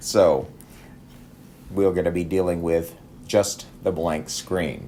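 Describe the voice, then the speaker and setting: A man talks with an American accent. Room echo is audible. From Texas. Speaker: math teacher. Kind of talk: lecture. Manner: halting.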